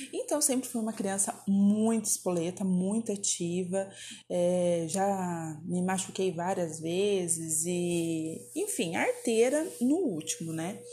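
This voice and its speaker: A woman speaks at a very slow pace in a somewhat breathy voice of medium pitch. Her tone is dark and mellow, with ordinary pitch variation. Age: 30s. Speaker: podcast host. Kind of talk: personal storytelling monologue. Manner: casual, chatty.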